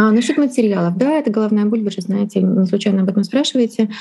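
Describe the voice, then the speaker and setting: Fairly high in pitch yet dark and mellow in tone, the woman's somewhat breathy voice shows ordinary pitch variation. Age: 40s. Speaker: Chinese interpreter and translation teacher. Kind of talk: interview.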